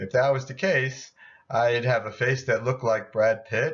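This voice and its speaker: A man talks with ordinary pitch variation at a moderate pace, in a normal speaking voice. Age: 60s. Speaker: doctor giving health talk. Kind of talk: video lecture with slides. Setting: at home.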